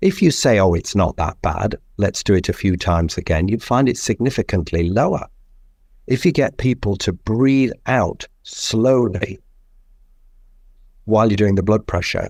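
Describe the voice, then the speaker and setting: Speaking with an English accent, a man keeps a moderate pace, a fairly low pitch and lively intonation. His loudness stays very even, and the recording is very clean with a silent background. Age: 60s. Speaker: physician. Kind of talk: interview.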